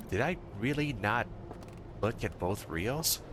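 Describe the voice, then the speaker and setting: Noticeable background noise runs behind a man whose intonation is lively. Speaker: gaming video creator. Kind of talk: let's play commentary. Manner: hushed at times. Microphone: microphone sometimes failed to pick up quiet speech.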